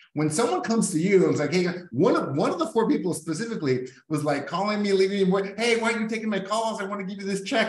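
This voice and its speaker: A man with a Californian accent talks at a very fast pace in a high pitch, his intonation lively, with audible room echo around him. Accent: Californian-sounding American English. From Mexico, US border. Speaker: real estate business owner. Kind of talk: casual chat.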